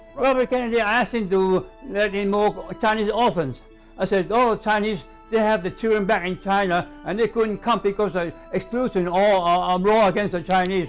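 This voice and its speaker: A man with a high voice, ordinary pitch variation and a moderate pace, with music in the background. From Hawaii and Hong Kong. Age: 80s+. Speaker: former newspaper editor. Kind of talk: interview answer. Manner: hesitant, repetitive.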